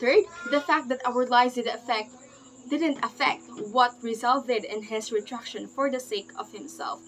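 Over light background noise, a woman speaks at a moderate pace in a high pitch with ordinary pitch variation. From Philippines. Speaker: student presenter; presenter. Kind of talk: class presentation. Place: home room. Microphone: webcam.

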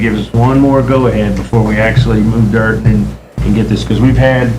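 A man talks in a monotone with flat intonation. The recording has audible room echo and noticeable background noise. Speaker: city official giving staff report. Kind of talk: report at city council meeting. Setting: city council meeting. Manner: fast.

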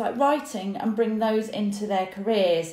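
Audible room echo surrounds the voice. A woman talks at a moderate pace. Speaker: career coach. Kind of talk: casual vlog chat. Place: home room. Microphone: phone near.

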